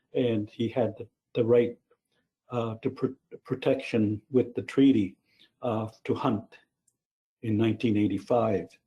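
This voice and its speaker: A man with a medium-pitched, dark and mellow voice, somewhat breathy, speaks at a fairly slow pace in a flat monotone, with long, frequent pauses. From New Brunswick, Canada (Mi'kmaq reserve). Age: 70s. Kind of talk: lecture. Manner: halting, many fillers and repeats.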